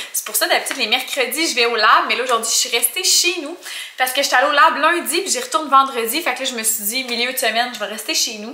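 A woman's raised, projected voice at a very fast pace, with ordinary pitch variation and audible room echo. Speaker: vlogger. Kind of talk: casual vlog chat. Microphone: phone near.

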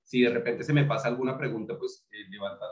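The speech moves at a fairly quick pace. Room echo is audible against a quiet background. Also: man. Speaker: beer tasting host. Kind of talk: tutorial. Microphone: webcam.

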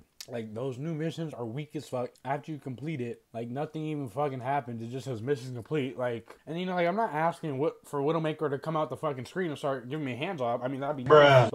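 Over a quiet background, a man talks at a very fast pace with hardly any pauses, using a fairly high pitch and ordinary pitch variation. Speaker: video creator. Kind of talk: casual slang. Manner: casual, profane, rambling. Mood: frustrated, ranting. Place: home room. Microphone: earbuds.

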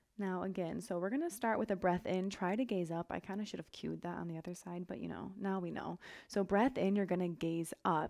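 A woman speaks at a fairly quick pace with hardly any pauses, in a calm, relaxed tone. Her pitch varies in an ordinary way against a quiet background. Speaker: yoga instructor. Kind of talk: guided yoga class, cueing poses and breath. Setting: home studio, online video class. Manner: relaxed, upbeat and chatty; calm, rhythmic cueing with short breath-paced commands. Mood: calm, gentle, encouraging. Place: home room.

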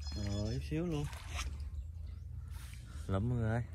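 Lively intonation marks a man speaking at a moderate pace.

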